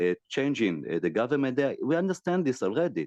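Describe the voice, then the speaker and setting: A man with an Israeli accent speaks with very wide pitch swings. The sound is dry and close with no echo, over a quiet background. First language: Hebrew. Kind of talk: video call discussion. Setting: video call. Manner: halting.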